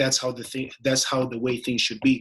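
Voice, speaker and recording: The voice has a bright, sharp tone and a non-native accent. Its intonation is monotone and flat. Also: man. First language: not English. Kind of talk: casual interview conversation. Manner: hesitant, many fillers.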